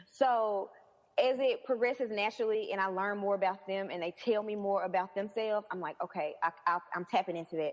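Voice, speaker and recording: A woman's energetic voice with a Southern US accent at a medium pitch and fairly quick pace, ordinary pitch variation and big swings in loudness, over music in the background. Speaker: personal trainer. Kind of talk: interview answer.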